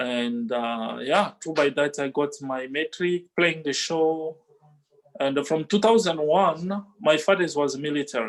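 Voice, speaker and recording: Speaking fairly slowly with an African accent, a man uses a fairly high voice with ordinary pitch variation. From DR Congo. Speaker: musician. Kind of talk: interview testimony. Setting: video call. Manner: halting, many fillers.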